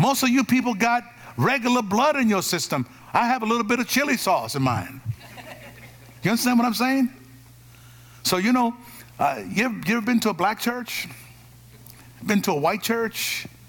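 A man's animated, extremely high voice at a moderate pace, with ordinary pitch variation, very even loudness, long, frequent pauses and noticeable background noise. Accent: American. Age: 50s. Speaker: pastor. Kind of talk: Pentecostal-style live church sermon, call-and-response with congregation. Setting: church service with live congregation. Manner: animated, folksy and rhythmic, punchy repeated exhortations; emphatic, drives for amens.

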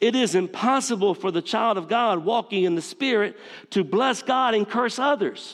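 Someone with a Southern US accent speaks at a moderate pace with ordinary pitch variation and very even loudness. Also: man, high pitch for a man. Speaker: pastor. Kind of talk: sermon. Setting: church.

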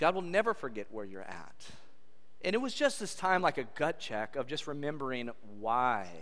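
With an American accent, a man speaks at a moderate pace in a fairly high pitch, his animated tone marked by very wide pitch swings and big swings in loudness, with audible room echo around him. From California. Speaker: pastor. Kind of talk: sermon. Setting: church.

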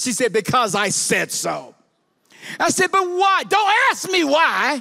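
In a raised, projected voice with a bright, sharp, animated tone, a man with an American accent speaks at a moderate pace with lively intonation. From Chicago, US. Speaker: guest preacher. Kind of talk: sermon. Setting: church.

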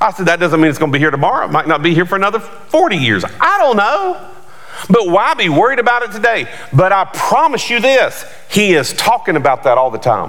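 A man's high, animated voice with very wide pitch swings at a fairly quick pace, over noticeable background noise. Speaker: pastor. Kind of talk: sermon. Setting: church with congregation. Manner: animated, forceful preaching, call-and-response; emphatic, rising and fast in full flow.

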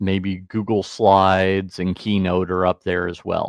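The voice belongs to a man with a very deep, low pitch. He speaks at a very slow pace. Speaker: church tech trainer. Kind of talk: casual interview. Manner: slow talker.

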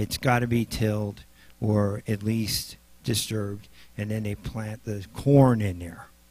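This man talks at a fairly slow pace with a Midwestern US accent. His pitch is fairly low and his intonation fairly even. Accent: US Midwest. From Nebraska. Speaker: lay preacher and paramedic. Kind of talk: sermon.

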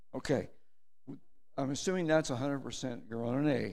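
A man talks at a fairly slow pace in a fairly high voice, with audible echo from the room. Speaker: church elder and Marine veteran. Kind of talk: communion meditation. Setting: church.

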